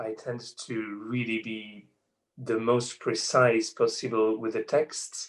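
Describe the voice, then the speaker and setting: The delivery comes in a French accent. The pace is very slow. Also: man. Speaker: opera singer. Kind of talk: interview. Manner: halting.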